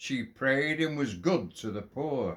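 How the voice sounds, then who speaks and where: A very slow pace in a Lancashire accent. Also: man. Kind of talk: poetry reading.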